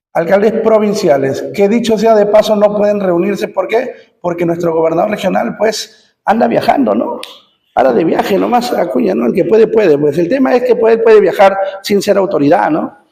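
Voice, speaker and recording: Audible room echo surrounds the voice. The intonation is lively. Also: man, high pitch for a man. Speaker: teacher. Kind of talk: lecture. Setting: classroom with students present. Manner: fast.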